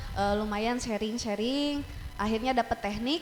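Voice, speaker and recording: An unremarkable speaking voice, a woman's, fairly high and moderately paced, its pitch varying in an ordinary way. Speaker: teacher and metalcore scream vocalist. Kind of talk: casual chat. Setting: studio.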